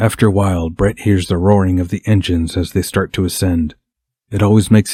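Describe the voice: This is plain reading aloud with fairly even intonation. The background is quiet.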